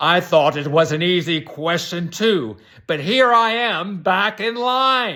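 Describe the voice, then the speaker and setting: A man does a put-on character voice at a high pitch and fairly slow pace, on a very clean recording with a silent background. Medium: read story.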